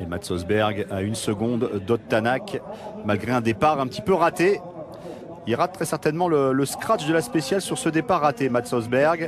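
Over noticeable background noise, a man talks at a moderate pace in a medium pitch with very wide pitch swings. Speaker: race commentator. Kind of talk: live race commentary.

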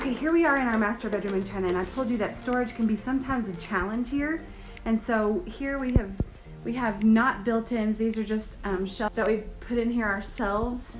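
A woman at a fairly quick pace with ordinary pitch variation, clear music playing in the background. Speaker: home tour vlogger. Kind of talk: casual vlog chat. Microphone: phone near.

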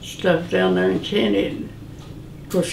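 In a Southern US accent, a woman talks at a very slow pace, with audible room echo and light background noise. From rural northwest Georgia, USA. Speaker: interviewee recalling childhood. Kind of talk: interview answer. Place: home room.

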